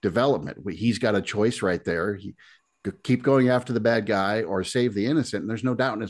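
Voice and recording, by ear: A natural voice reads a text aloud, with only quiet behind it.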